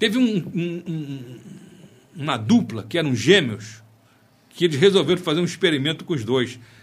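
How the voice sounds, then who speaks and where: A man's fairly high voice with vocal fry, very wide pitch swings and a fairly slow pace. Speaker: physician. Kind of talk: casual interview.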